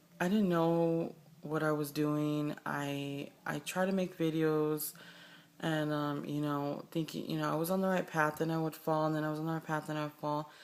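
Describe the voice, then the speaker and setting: Her pitch is very deep and low for a woman, with monotone, flat intonation. The recording is very clean, with a silent background. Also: moderate pace. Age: 20s. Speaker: vlogger. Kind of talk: personal video diary. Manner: halting, with many fillers.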